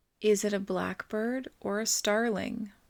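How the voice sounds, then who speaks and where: A woman's put-on character voice at medium pitch and a fairly slow pace, on a very clean recording with a silent background. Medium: read story. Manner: brisk, officious.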